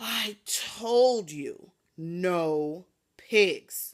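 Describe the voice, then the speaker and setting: Using a put-on character voice, a woman speaks at a medium pitch with lively intonation. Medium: read story.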